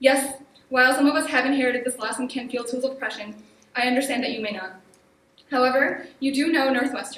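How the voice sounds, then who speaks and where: Shaky and at a very fast pace, a woman with a high pitch speaks with fairly even intonation, amid audible room echo and noticeable background noise. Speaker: student activist. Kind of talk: public hearing speech. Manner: shaky voice.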